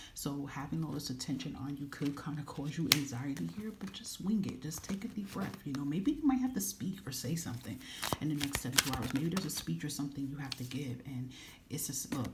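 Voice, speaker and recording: Over noticeable background noise, the words come at a very fast pace. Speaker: tarot card reader. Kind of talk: pick-a-card tarot reading. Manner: animated.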